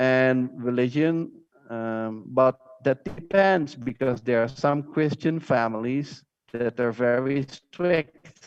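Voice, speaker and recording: With a Dutch accent, a man speaks at medium pitch and a very slow pace, with ordinary pitch variation and a dry, close sound with no echo. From Netherlands. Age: 40s. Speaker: teacher. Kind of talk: lecture. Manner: halting.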